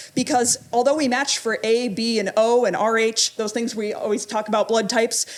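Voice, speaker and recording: A woman speaks with a fairly high pitch and an animated tone. She barely pauses at all. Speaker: pathologist giving a talk. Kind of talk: lecture. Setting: stage with audience. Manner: fast.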